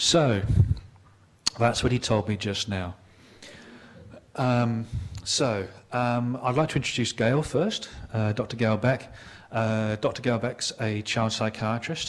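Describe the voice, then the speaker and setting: At a very slow pace with long, frequent pauses, a man speaks at a medium pitch with fairly even intonation. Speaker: psychiatry professor and emcee. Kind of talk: event introduction. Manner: hesitant, many fillers.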